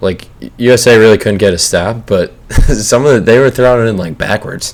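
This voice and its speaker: A man speaks at a fairly quick pace, his medium pitch showing ordinary variation. Background noise is noticeable. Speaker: pro basketball player and podcast host. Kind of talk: casual podcast chat.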